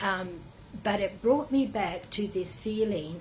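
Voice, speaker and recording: A medium-pitched woman with an Australian accent and lively intonation, with audible room echo. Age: 70s. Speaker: spiritual retreat leader. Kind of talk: personal reflective monologue. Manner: halting, many fillers.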